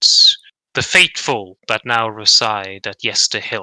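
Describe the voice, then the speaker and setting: Using a put-on character voice, a man speaks at a fairly slow pace in a medium pitch. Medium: actual play. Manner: solemn, archaic and formal.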